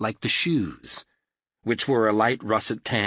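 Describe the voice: A quiet background behind plain reading aloud, pitch moving in an ordinary way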